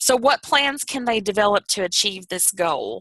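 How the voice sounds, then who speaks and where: A woman speaks with a Southern US accent at a fairly high pitch, her intonation lively and her tone bright and sharp. The sound is dry and close, with no echo. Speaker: youth program trainer. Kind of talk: training presentation. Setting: video call. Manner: careful clear enunciation.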